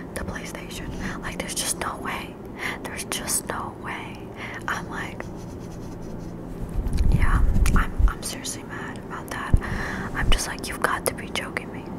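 A soft-spoken woman whispers at a fairly slow pace, leaving long, frequent pauses over loud background noise. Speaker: ASMR creator. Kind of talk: soft ASMR chat. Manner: soft close-mic ASMR whisper. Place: home room. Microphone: studio mic.

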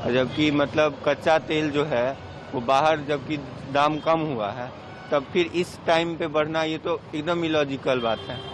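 A man's fairly slow, fairly high-pitched speech with few pauses and ordinary pitch variation, over clear background noise.

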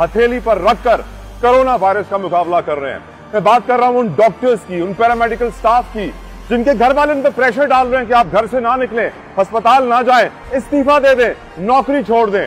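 Against faint music in the background, a man with an extremely high pitch talks at a moderate pace. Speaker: news reporter. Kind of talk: news report to camera. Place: street. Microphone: lapel.

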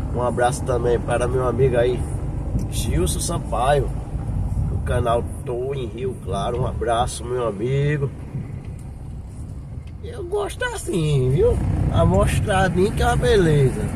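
Loud background noise sits under a dry sound with no echo. A man speaks at a fairly slow pace with long, frequent pauses. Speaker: vlogger driving. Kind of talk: casual vlog chat. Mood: warm, grateful. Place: car. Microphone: phone near.

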